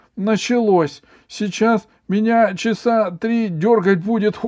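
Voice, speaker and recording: At a fairly slow pace, a man uses a put-on character voice pitched high. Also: fairly even intonation. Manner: pained, exclaiming while twitching.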